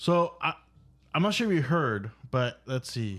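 On a very clean recording with a silent background, a man speaks at a moderate pace with very wide pitch swings. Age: 30s. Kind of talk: casual chat. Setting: studio.

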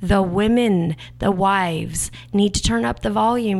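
A woman with a very deep, low pitch at a very slow pace. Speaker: podcast co-host. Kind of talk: casual banter podcast.

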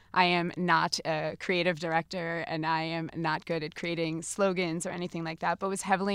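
In a very clean recording with a silent background, a woman talks at a fairly quick pace with an American accent. Her voice is fairly low in pitch and carries vocal fry. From New Jersey. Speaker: business executive. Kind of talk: interview.

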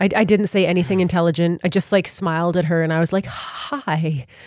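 Here is a woman with a plain, everyday voice, fairly low in pitch, speaking at a fairly quick pace with ordinary pitch variation. The recording is very clean, with a silent background. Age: 30s. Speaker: singer-songwriter. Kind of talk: casual chat. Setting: studio.

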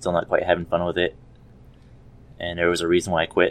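The voice belongs to a man. It sits very deep and low. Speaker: student and military veteran, first-time guest. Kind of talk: casual chat.

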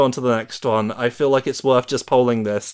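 With a British accent and medium pitch, a man speaks on a very clean recording with a silent background. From Britain. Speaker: podcast host. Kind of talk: casual chat.

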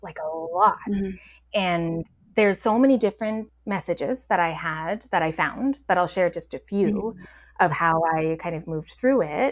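A woman's unremarkable speaking voice at medium pitch and moderate pace, with ordinary pitch variation, big swings in loudness, and a very clean recording over a silent background. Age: 40s. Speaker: energy healer and meditation guide. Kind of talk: casual chat.

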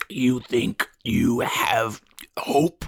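Raspy put-on character voice at low-to-middle pitch. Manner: hateful, despairing.

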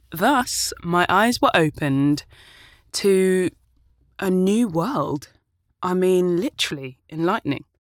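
With a British accent, a woman speaks at medium pitch with lively intonation, at a very slow pace with long, frequent pauses. The sound is dry and close with no echo, on a very clean recording with a silent background. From UK, Ghanaian family. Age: 30s. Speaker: podcast host and actor. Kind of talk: casual monologue. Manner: animated.

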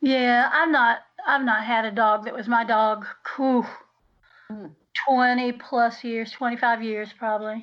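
A woman speaks in a Southern US accent at a fairly slow pace. Her fairly high pitch keeps fairly even intonation. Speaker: podcast co-host. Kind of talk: casual chat.

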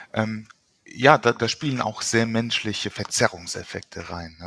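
A man's normal speaking voice, medium in pitch, at a fairly slow pace, in a very clean recording with a silent background and a dry, close sound with no echo. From Luxembourg. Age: 40s. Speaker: psychotherapist and author. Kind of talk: interview.

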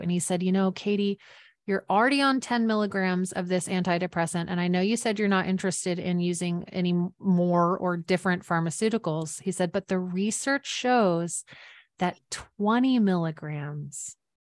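A woman has a normal speaking voice at medium pitch, with ordinary pitch variation, very even loudness and a moderate pace. The background is quiet, and the sound is dry and close with no echo. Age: 40s. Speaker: author and life coach. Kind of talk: interview.

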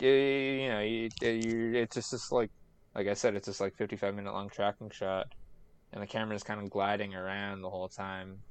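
A man with a normal speaking voice, fairly low in pitch, at a moderate pace with fairly even intonation and a quiet background. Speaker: podcast guest. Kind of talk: casual chat. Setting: video call.

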